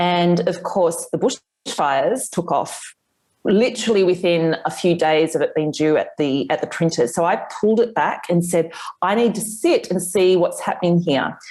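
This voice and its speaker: Keeping a very even loudness, a woman with a fairly low pitch and an Australian accent talks at a moderate pace with ordinary pitch variation. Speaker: author. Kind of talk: interview.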